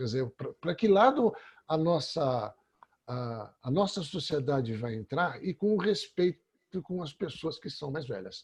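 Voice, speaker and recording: A man's fairly high voice moves through very wide pitch swings as he speaks at a moderate pace. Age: 60s. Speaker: workshop participant. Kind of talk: testimony. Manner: halting.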